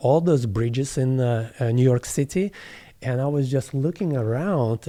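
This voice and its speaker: With a Russian accent, a man talks in a dark, mellow tone and lively intonation. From southeast Russia, near Kazakhstan border. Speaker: plant medicine facilitator. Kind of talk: interview. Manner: halting.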